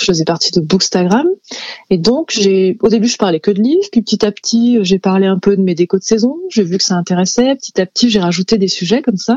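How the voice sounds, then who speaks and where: A woman with a medium-pitched, unremarkable speaking voice talks at a fairly quick pace. Her pitch varies in an ordinary way. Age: 30s. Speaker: illustrator and author. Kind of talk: interview. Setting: studio.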